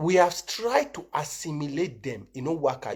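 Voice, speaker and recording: A man's animated tone comes through at a moderate pace. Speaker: political commentator. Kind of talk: live stream monologue.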